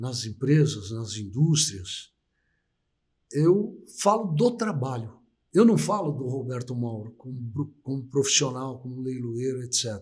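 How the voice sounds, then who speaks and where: A man speaks at a fairly slow pace, medium in pitch with lively intonation. His voice is somewhat breathy. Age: 60s. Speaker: auctioneer. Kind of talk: interview. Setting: live stream.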